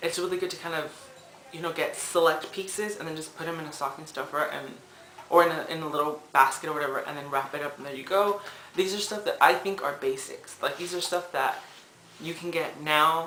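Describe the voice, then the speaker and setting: Noticeable background noise under speech at a fairly quick pace. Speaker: drag queen vlogger. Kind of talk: casual vlog tutorial. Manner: fast.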